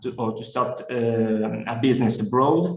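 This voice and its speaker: A man talks at a fairly slow pace, his voice caught in audible room echo with noticeable background noise. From Italy. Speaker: business development manager. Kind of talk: webinar presentation. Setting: online webinar. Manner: hesitant, many fillers.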